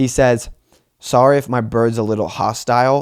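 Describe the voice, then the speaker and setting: An animated man at medium pitch, on a very clean recording with a silent background. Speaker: solo comedy podcast host. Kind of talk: casual storytelling. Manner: fast.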